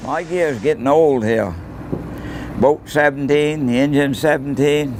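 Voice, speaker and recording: With a Maine accent, a man talks at a fairly slow pace and fairly high pitch, his pitch varying in an ordinary way amid noticeable background noise. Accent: Downeast Maine. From Maine coast (Stonington area). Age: 80s+. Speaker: lobsterman. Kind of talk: interview.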